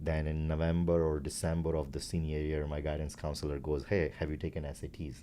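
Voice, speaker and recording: Speaking at a fairly quick pace, a man with a very deep, low pitch delivers his words in a dark, mellow tone with monotone, flat intonation. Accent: Gujarati. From India (Gujarat). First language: Gujarati. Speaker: startup founder. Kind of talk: interview. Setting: company facility.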